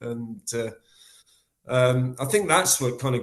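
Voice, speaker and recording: Somewhat breathy, a man with an English accent speaks at a medium pitch with ordinary pitch variation. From England. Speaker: death metal guitarist and vocalist. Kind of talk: interview. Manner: halting.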